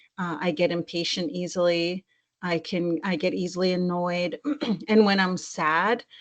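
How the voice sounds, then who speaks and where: This woman has a fairly low pitch. Her intonation stays fairly even. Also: moderate pace. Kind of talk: interview conversation. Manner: monotone; halting, searching for words.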